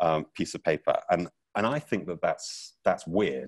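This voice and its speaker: A British accent comes through against a quiet background. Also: man. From Britain. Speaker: teacher. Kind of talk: keynote talk. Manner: energetic, playful.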